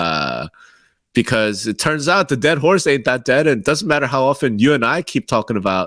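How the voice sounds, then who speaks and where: At a fairly quick pace, a man talks in a medium-pitched voice with vocal fry and very wide pitch swings. The sound is dry and close, with no echo. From Korea, moved to the US as a child. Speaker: real estate podcast co-host. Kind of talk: casual chat.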